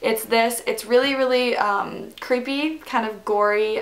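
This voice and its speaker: A woman's speech, with ordinary pitch variation, is heard over noticeable background noise. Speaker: beauty YouTuber. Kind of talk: makeup tutorial. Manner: animated.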